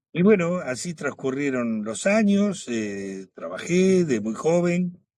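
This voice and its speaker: A man with a Rioplatense accent speaks very slowly in a high voice with a dark, mellow tone and very wide pitch swings. The recording is very clean, with a silent background. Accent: Argentine Spanish (rioplatense). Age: 70s. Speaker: guest telling his faith testimony. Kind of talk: testimony.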